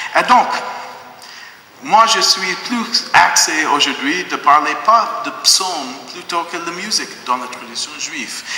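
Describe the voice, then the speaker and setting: Against noticeable background noise and audible room echo, a man with a slight non-native accent speaks at a very slow pace in a high pitch, with lively intonation and long, frequent pauses. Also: big swings in loudness. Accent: slight foreign accent in French. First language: not French (speaking French). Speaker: rabbi giving a talk. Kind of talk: public lecture. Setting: church hall with audience. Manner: halting, frequent hesitations.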